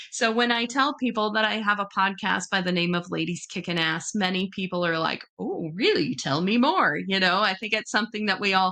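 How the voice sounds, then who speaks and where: A bright, sharp tone moves at a fairly quick pace with hardly any pauses. Pitch varies in an ordinary way. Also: woman, medium pitch for a woman. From US small town. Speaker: podcast host. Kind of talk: interview podcast.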